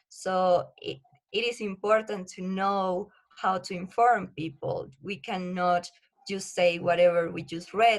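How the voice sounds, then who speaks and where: A woman with a Spanish accent speaks at a medium pitch and a fairly slow pace. Her intonation stays fairly even while her loudness swings a lot. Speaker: research assistant and science communicator. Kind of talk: podcast interview. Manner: halting.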